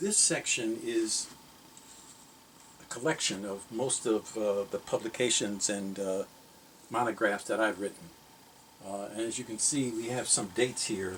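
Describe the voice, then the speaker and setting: A man with an American accent speaks at a fairly slow pace and a medium pitch, leaving long, frequent pauses. His intonation stays fairly even, and there is noticeable background noise. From Chicago, US Midwest. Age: 70s. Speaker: scholar and book collector. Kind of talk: guided tour of personal library. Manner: halting, with many fillers.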